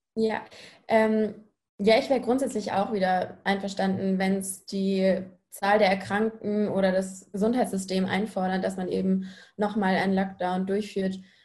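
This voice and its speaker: Woman's somewhat breathy, dark, mellow voice at medium pitch, monotone, flat intonation, moderate pace. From Munich, Bavaria. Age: 20s. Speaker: university student. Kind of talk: panel discussion.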